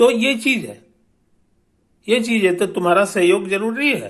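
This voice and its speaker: Here a man is speaking. His pitch shows ordinary variation. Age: 70s. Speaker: physics teacher and author. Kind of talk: promotional talk to students. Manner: casual, repetitive filler (है कि नहीं); hesitant, with fillers and restarts.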